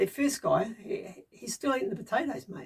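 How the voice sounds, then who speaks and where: A somewhat breathy woman's voice swings very widely in pitch. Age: 60s. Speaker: DIY bunker builder vlogger. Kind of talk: casual monologue vlog. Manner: halting, many fillers and repetitions.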